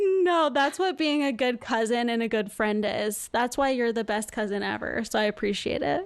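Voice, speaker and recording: A woman with an American accent speaks at a moderate pace with hardly any pauses, in an unremarkable speaking voice that is fairly high-pitched, with lively intonation and very even loudness. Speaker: nurse, podcast host. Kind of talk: casual chat.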